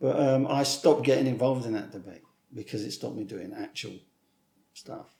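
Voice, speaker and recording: A somewhat breathy voice with a dark, mellow tone rushes along at a very fast pace. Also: man. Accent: southern English. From southern England. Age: 60s. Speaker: author and screenwriter. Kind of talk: interview. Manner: animated.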